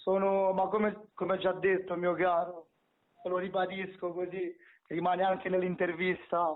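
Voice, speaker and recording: A man with a Roman accent speaks at a fairly slow pace and a high pitch. His intonation is monotone and flat, and his loudness stays very even. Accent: Roman Italian. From Romania then Rome (from age ten). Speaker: rapper. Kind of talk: casual interview.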